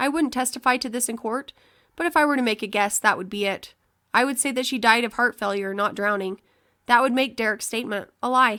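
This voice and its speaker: A woman puts on a character voice, high-pitched and raspy. She speaks at a fairly quick pace. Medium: read story.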